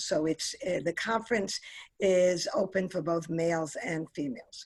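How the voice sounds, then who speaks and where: Speaking at a fairly slow pace with a New York accent, a woman uses ordinary pitch variation. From New York City, Queens. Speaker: aviation industry executive. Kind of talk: career talk.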